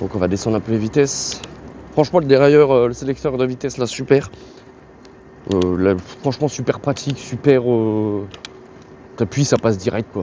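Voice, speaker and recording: A man's speech broken by long, frequent pauses over noticeable background noise. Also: medium pitch for a man, ordinary pitch variation, moderate pace. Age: 30s. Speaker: YouTuber reviewing products. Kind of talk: product review while riding. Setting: outdoors on a bike. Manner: halting, many hesitations; casual.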